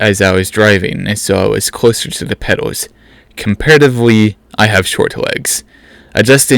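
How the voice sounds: The voice heard here is a natural reading voice.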